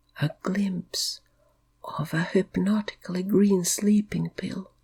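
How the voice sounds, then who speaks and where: A woman whispers, soft-spoken. She goes at a very slow pace. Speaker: hypnotic meditation guide. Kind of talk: guided sleep hypnosis. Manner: slow, soft, whispered in places.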